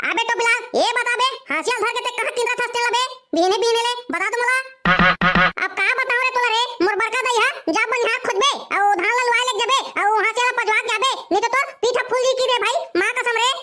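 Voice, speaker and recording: A squeaky, cartoonish character voice races along at a very fast pace and an extremely high pitch. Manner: brash, needling.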